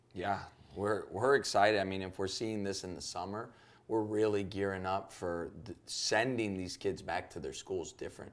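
A man's plain, everyday voice at a moderate pace, fairly low in pitch with fairly even intonation, with an American accent. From Chicago, US (Cuban family). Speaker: youth pastor. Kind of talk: podcast interview.

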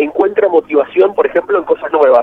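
Speaking at a fairly quick pace with a Rioplatense accent, a man is heard over noticeable background noise. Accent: Argentine Rioplatense Spanish. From Argentina, Buenos Aires province south (Rivera area). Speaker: journalist and author. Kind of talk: radio interview. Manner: halting, frequent repetitions.

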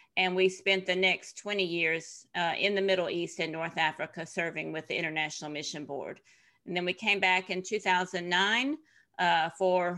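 Medium-pitched, a woman speaks at a moderate pace with fairly even intonation. The recording is very clean, with a silent background. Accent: Tennessee. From US South, Tennessee. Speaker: author and former missionary. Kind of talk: interview.

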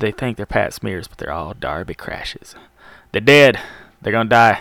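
A man speaks at medium pitch with lively intonation and vocal fry. His loudness swings widely. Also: moderate pace. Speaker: radio DJ. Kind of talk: casual radio show talk. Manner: rambling.

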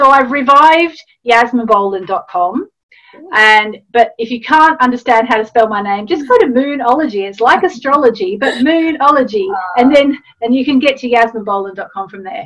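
A woman with an Australian accent and high pitch, lively intonation, a moderate pace and big swings in loudness. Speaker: astrologer and author. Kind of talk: interview.

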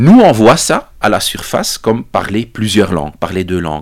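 With a Dutch accent, a man talks at a fairly slow pace and fairly low pitch. His intonation is lively. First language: Dutch (speaking French). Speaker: psychology professor. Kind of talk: interview, explaining research. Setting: studio recording in Brussels.

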